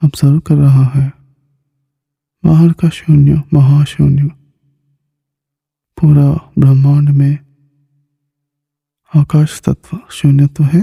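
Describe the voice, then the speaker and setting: Somewhat breathy and dark, mellow in tone, a man with a fairly high pitch speaks in a monotone, flat intonation at very even loudness, with long, frequent pauses. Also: dry, close sound with no echo. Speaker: meditation teacher. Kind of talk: guided meditation. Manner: slow; soft-spoken.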